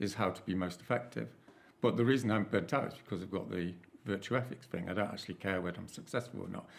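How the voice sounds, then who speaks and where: A man is talking. His voice sits at a fairly low pitch. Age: 60s. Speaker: climate activist, panelist. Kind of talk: panel discussion. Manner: halting, frequent repetitions; casual, informal.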